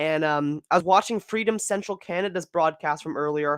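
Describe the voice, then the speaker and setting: The recording is very clean with a silent background. The speaker talks at a moderate pace. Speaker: live streamer covering protest news. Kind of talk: live stream commentary.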